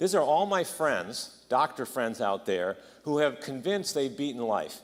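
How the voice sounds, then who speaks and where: The speaker has an animated tone and moves at a fairly quick pace. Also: man. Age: 60s. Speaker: doctor. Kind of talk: conference talk. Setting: conference.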